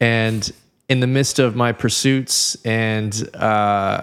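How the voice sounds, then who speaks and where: On a very clean recording with a silent background, a man with a Californian accent speaks in a fairly low pitch. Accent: Californian American English. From Southern California. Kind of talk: casual podcast interview.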